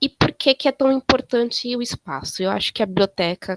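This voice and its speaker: Here a woman talks at a fairly quick pace with lively intonation and a fairly high pitch. The sound is dry and close, with no echo. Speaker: librarian giving a talk to library students. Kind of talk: lecture. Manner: halting.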